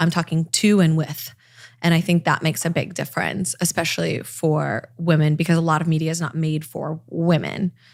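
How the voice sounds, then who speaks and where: A woman with an American accent speaks at a moderate pace in a fairly low voice with monotone, flat intonation. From Los Angeles, California. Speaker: TV and online news host. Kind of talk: podcast interview. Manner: conversational, approachable.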